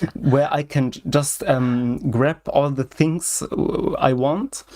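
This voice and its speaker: A man with a German accent speaks at a very slow pace in a fairly high pitch. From Germany. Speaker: software hobbyist. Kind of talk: casual chat. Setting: video call livestream. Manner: halting, many fillers.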